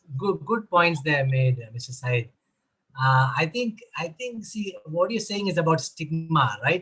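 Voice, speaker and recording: Very wide pitch swings and a bright, sharp tone, in a Keralan accent at a fairly slow pace. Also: man, fairly high pitch for a man. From Kerala, India. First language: Malayalam. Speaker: mental health advocate. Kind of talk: online panel discussion.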